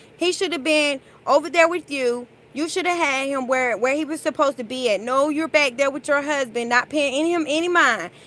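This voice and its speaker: A woman's high voice comes out raised and projected, bright and sharp in tone. She sounds animated, with ordinary pitch variation. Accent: American. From North Carolina. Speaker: vlogger. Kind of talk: casual monologue.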